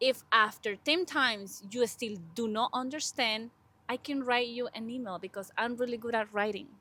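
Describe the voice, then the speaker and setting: A woman with a strong Spanish accent speaks at a moderate pace in a fairly high pitch. Her tone is bright and sharp, with ordinary pitch variation. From Honduras. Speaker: podcast co-host, graduate student. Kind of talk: casual interview chat.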